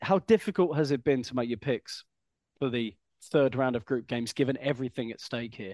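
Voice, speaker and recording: This man has a normal speaking voice, medium in pitch with ordinary pitch variation, moving at a fairly quick pace in a dry, close sound with no echo. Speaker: podcast host. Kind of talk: casual chat.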